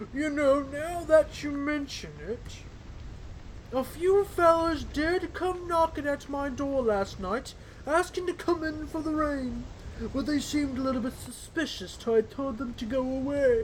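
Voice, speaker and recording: A man puts on a character voice. Clear background noise runs behind him. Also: moderate pace. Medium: game stream. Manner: folksy, rambling.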